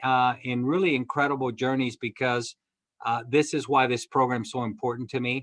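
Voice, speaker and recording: A man speaks at a moderate pace. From Cuba, raised in US Midwest from age 11. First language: Spanish. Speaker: cinema chain executive. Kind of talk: interview. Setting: video call.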